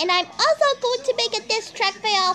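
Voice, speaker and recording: A woman's pitch swings very widely. She uses a raised, projected voice. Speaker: video host giving approval to rants. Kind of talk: casual agreeing commentary.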